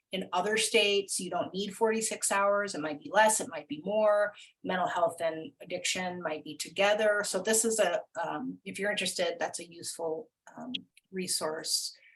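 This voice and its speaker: Her loudness swings widely as this woman speaks at a moderate pace. She has a medium pitch and ordinary pitch variation. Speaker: webinar presenter on peer recovery. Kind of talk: webinar presentation. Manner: halting, many fillers.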